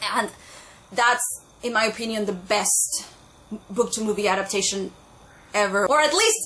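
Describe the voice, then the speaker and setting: A speaker with a non-native accent is heard over noticeable background noise. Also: woman. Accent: own non-native. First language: not English. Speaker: booktuber. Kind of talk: casual vlog talk. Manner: animated.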